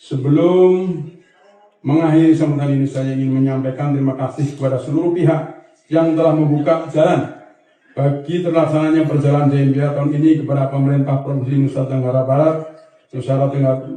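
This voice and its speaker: A man's fairly high-pitched, monotone voice with flat intonation, at a fairly quick pace, with audible room echo. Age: 60s. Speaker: anti-corruption agency official. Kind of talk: formal ceremonial speech. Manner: formal.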